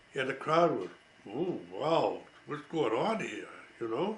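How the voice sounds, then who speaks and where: A man with an American accent talks at a fairly slow pace. Noticeable background noise and audible room echo surround him. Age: 80s+. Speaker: war veteran. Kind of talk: storytelling. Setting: at home. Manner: halting.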